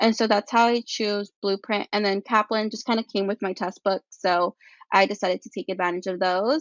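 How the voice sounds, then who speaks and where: Fairly even intonation carries speech that proceeds at a moderate pace. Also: woman, medium pitch for a woman. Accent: Spanish. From California central coast. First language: Spanish. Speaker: pre-med student. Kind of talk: podcast interview.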